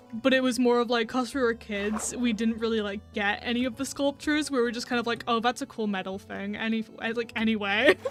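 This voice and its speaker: Delivered at a fairly quick pace with fairly even intonation and hardly any pauses, the speech sits over noticeable background noise. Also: woman, fairly high pitch for a woman. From England. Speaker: gaming streamer. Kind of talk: casual chat. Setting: live stream.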